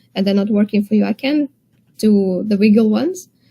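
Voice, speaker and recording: A woman with a non-native accent speaks in a dark, mellow, somewhat breathy tone. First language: not English. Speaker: eyelash extension technician and tweezer seller. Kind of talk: livestream chat.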